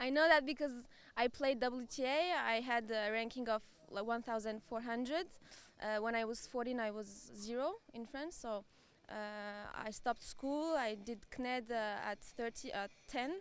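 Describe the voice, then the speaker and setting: A woman with a Turkish accent, fairly high in pitch, at a moderate pace, with ordinary pitch variation. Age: 20s. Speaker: amateur tennis player, qualifier winner. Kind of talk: post-match interview. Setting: live event arena. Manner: halting.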